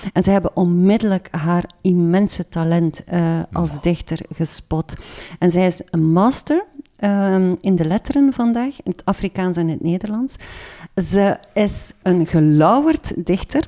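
In a dry, close recording with no echo, a woman with a dark, mellow tone speaks at a medium pitch and a fairly slow pace, with ordinary pitch variation. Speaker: literary journalist. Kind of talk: casual interview.

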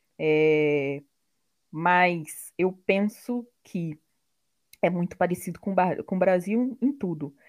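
Speaking very slowly with long, frequent pauses, a woman uses a fairly low pitch and ordinary pitch variation. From Brazil, interior of Rio de Janeiro state. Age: 30s. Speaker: product owner, tech worker. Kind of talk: interview.

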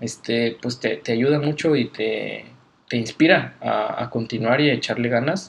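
A plain, everyday voice at a fairly slow pace with ordinary pitch variation. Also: man, medium pitch for a man. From Mexico, Guadalajara. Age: 20s. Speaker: Bible college student. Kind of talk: casual interview. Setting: Bible college campus.

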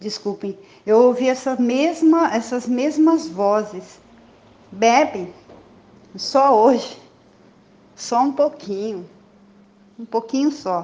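A woman speaks at a very slow pace with long, frequent pauses. Her high-pitched voice has lively intonation. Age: 60s. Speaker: recovering alcoholic sharing at support meeting. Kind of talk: testimony.

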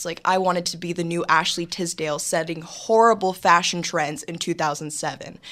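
At a moderate pace, a woman speaks in a fairly low pitch. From Los Angeles, California. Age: young. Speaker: entrepreneur. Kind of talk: interview. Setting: studio.

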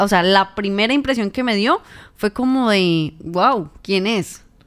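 A woman with a normal speaking voice, a fairly slow pace and ordinary pitch variation. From Colombia, Tolima (Ibagué). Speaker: journalist and podcast co-host. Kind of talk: casual chat.

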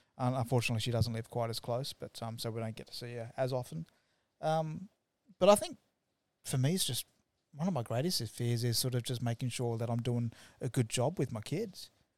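An Australian accent at a fairly quick pace, with ordinary pitch variation. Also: man, medium pitch for a man. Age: 40s. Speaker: web developer. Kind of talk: casual chat. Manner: halting.

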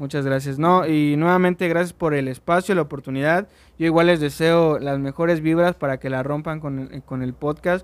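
Using an ordinary speaking voice, a man talks at a moderate pace with hardly any pauses, his fairly high pitch held in fairly even intonation. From Mexico, Orizaba, Veracruz. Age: 20s. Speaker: singer-songwriter. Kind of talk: casual chat.

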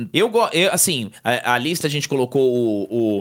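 At a moderate pace, an ordinary speaking voice carries lively intonation. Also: man. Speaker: podcast co-host. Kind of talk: casual chat.

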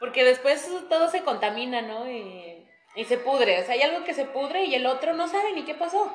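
A woman talks at a moderate pace with a high pitch and very wide pitch swings. Music plays in the background. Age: 20s. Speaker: psychologist and market vendor. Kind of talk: casual chat.

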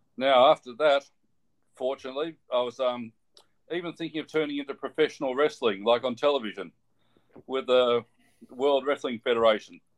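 A man with an Australian accent at medium pitch, fairly quick in pace yet broken by long, frequent pauses. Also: ordinary pitch variation. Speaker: physiotherapist. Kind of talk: interview.

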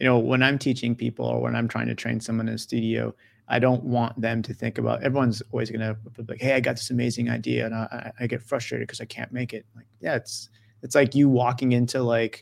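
In an American accent, a man speaks fairly quickly at a medium pitch. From US, rural farm town. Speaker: video game designer. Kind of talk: casual interview. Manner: animated.

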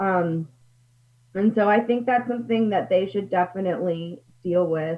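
In an American accent, a woman with a plain, everyday voice talks at a medium pitch and a moderate pace with ordinary pitch variation. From US, Pennsylvania. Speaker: minister. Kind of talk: interview. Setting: video call.

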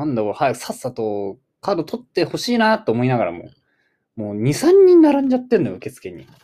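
His loudness rises and falls sharply. The man talks very fast. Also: very clean recording, silent background. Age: 20s. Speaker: podcast co-host. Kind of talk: casual chat. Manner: animated.

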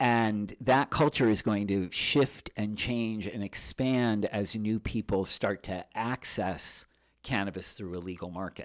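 In a normal speaking voice, a man talks at fairly low pitch with ordinary pitch variation, his sound dry and close with no echo on a very clean recording with a silent background. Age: 50s. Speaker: magazine publisher. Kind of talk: interview. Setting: studio.

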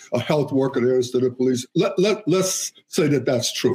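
Somewhat breathy, with a dark, mellow tone, a man speaks at a fairly high pitch. He goes at a fairly quick pace with ordinary pitch variation. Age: 80s+. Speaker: retired education leader. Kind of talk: panel discussion. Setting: video call.

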